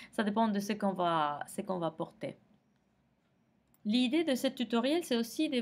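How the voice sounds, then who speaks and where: A woman with a Spanish accent speaks in a fairly high pitch that swings very widely. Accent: Spanish accent in French, non-native. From Argentina. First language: Spanish (speaking French). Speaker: makeup tutorial creator. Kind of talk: tutorial. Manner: halting, many hesitations.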